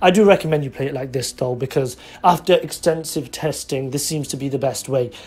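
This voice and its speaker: In a British accent, the speaker moves along at a fairly quick pace. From England. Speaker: YouTuber, card game deck reviewer. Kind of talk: deck profile tutorial. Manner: animated.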